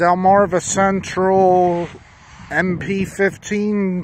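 A man is speaking. There is noticeable background noise, and the sound is dry with no echo. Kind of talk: casual commentary. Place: open country. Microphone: phone near.

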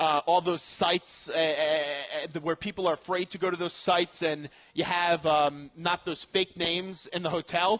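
Against a quiet background, a man with an American accent talks at a moderate pace in a high pitch with monotone, flat intonation. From New York. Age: 20s. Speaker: sports radio host. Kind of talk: sports talk radio. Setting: live remote broadcast at a restaurant. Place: studio.

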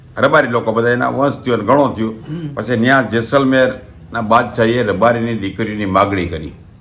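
With ordinary pitch variation at a medium pitch, a man talks while room echo is audible. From Gujarat, Rajkot district (Saurashtra). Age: 60s. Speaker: community elder and storyteller. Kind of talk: oral history storytelling. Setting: at home.

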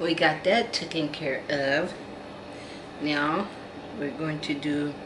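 Against noticeable background noise, a woman with a very deep, low pitch and ordinary pitch variation speaks at a very slow pace. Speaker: doll collector vlogger. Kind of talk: casual vlog chat. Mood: warm, cheerful sign-off. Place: home room. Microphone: phone near.

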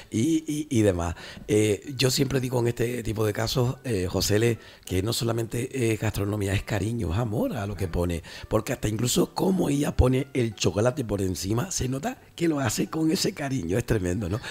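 This man's voice is somewhat breathy, and his intonation is lively. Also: moderate pace. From Canary Islands. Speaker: radio host. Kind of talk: radio talk show. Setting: studio. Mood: warm, admiring. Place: studio. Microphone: studio mic.

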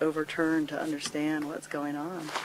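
Over light background noise, a man speaks at a moderate pace with monotone, flat intonation, the sound dry with no echo. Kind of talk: interview answer. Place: open country.

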